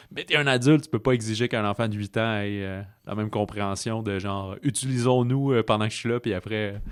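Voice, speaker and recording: A man's fairly low voice in a Quebec accent, with fairly even intonation and a fairly quick pace. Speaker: film podcast host. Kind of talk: casual film review chat.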